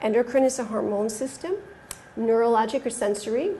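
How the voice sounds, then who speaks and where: A woman with an American accent, fairly high in pitch and fairly even in intonation, in audible room echo. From United States. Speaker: pediatric oncologist. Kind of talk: conference talk. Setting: stage with audience. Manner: fast.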